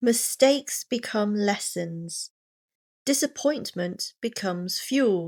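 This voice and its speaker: A woman speaks very slowly in a Received Pronunciation accent, her pitch fairly high and her intonation lively. The sound is dry and close, with no echo. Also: very clean recording, silent background. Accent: British Received Pronunciation. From England. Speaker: pronunciation coach. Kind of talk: motivational reading for pronunciation practice. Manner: slow, clear.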